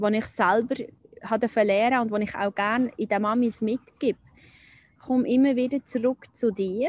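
A fairly high-pitched woman at a moderate pace, with fairly even intonation and a dry, close sound with no echo. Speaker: nurse and spiritual healer. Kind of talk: personal testimony interview. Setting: outdoors by a lake. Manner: halting.

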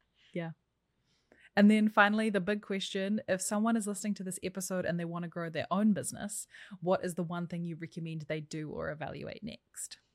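A woman's plain, everyday voice at medium pitch, fairly quick pace and fairly even intonation, with big swings in loudness, on a very clean recording with a silent background. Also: dry, close sound with no echo. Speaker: podcast host and digital marketing strategist. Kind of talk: casual interview.

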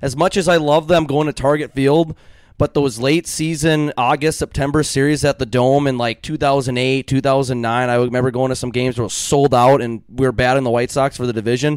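A man with an American accent has a normal speaking voice at a medium pitch, with fairly even intonation. He talks at a fairly quick pace with hardly any pauses, in a dry, close sound with no echo. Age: 20s. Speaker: podcast host. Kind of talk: casual chat.

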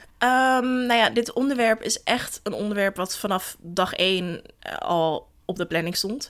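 A woman's normal speaking voice, fairly high in pitch, with lively intonation and a fairly slow pace. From Netherlands, Den Helder. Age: 20s. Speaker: founder of a feminist platform. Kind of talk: casual interview.

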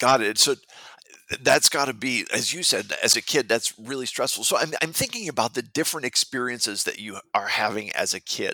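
A man speaks at a fairly quick pace with a dry, close sound and no echo. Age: 40s. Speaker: podcast host. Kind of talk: interview.

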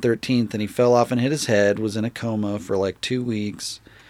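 A man's medium-pitched, normal speaking voice with an American accent, ordinary pitch variation and a moderate pace. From Utah. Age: 30s. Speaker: skateboard maker. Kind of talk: casual chat.

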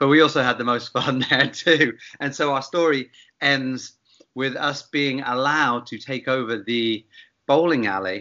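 A man's medium-pitched voice in a southern English accent, moderate pace and ordinary pitch variation. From England, Bath. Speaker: gin company founder, former bartender. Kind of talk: casual interview.

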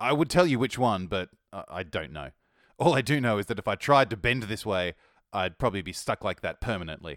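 Fairly low in pitch, a man with an Australian accent speaks at a fairly quick pace with very wide pitch swings. The recording is very clean, with a silent background. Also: dry, close sound with no echo. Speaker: music podcast host. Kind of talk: scripted music review podcast. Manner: upbeat, casual, chatty.

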